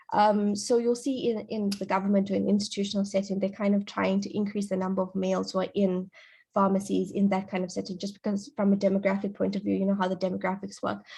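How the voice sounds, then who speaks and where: A woman speaks at a very fast pace with hardly any pauses, her medium-pitched voice dark, mellow, somewhat breathy and monotone, against a quiet background. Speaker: pharmacist. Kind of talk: career talk at online panel. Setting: online video event.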